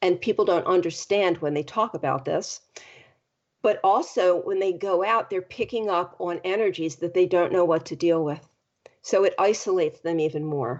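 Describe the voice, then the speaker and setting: Here is a woman with an ordinary speaking voice. Her pitch is medium and varies in an ordinary way. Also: moderate pace. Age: 60s. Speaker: life coach and podcast host. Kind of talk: interview.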